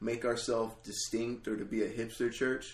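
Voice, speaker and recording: The voice is an unremarkable speaking voice. It moves at a moderate pace. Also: man. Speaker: ministry intern. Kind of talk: casual chat.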